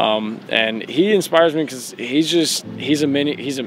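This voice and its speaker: With an American accent, a man speaks at a fairly slow pace and ordinary pitch variation. Noticeable background noise runs under his voice. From US South, Tennessee (Oak Ridge, near Knoxville). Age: 20s. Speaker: American football player. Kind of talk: casual self-introduction vlog. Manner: hesitant, many fillers.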